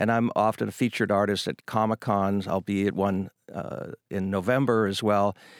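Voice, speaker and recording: A man talks in an ordinary speaking voice, fairly low in pitch, at a moderate pace. His intonation is fairly even, and the sound is dry and close with no echo. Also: very clean recording, silent background. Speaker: costume shop owner. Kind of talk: casual interview.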